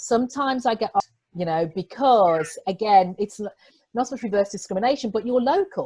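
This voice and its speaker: Speaking at a fairly quick pace with a British accent, a woman with a fairly high pitch and a dark, mellow, somewhat breathy tone uses lively intonation. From England. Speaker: executive coach. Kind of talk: interview.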